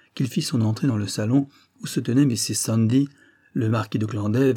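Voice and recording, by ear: This is someone reading aloud in a natural voice. The delivery stays that way throughout.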